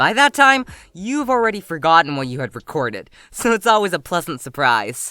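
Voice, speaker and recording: The talking proceeds at a moderate pace. Background music can be heard underneath. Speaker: hobbyist voice actor. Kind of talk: scripted interview answer.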